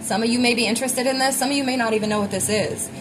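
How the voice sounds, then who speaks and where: A woman speaks with fairly even intonation amid audible room echo and music in the background. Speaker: tarot reader. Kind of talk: collective tarot reading. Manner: fast; casual, filler-heavy.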